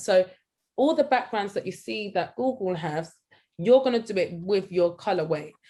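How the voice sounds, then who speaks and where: With a London accent, a woman talks at a moderate pace in a medium-pitched voice with lively intonation. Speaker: art workshop tutor. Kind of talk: online tutorial.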